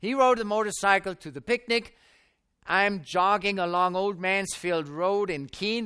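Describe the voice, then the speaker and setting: Against a quiet background, a man with a German accent projects a raised voice at a high pitch, his tone bright and sharp and his pace fairly slow. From Germany (Stuttgart). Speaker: preacher. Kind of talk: sermon with personal testimony. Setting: tent at a camp meeting with audience.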